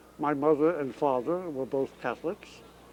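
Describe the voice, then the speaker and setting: This man's dark, mellow voice sits at a fairly high pitch, with ordinary pitch variation and a moderate pace. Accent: American. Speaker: stadium public address announcer. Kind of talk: interview answer.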